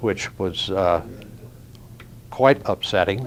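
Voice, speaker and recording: With noticeable background noise, a man speaks very slowly in a fairly low pitch. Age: 80s+. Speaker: Korean War veteran. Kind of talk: testimony.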